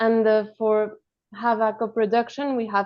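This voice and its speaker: A woman speaks with a Spanish accent at a fairly high pitch. Her pace is fairly slow. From Colombia. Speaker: animation film director. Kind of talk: roundtable discussion.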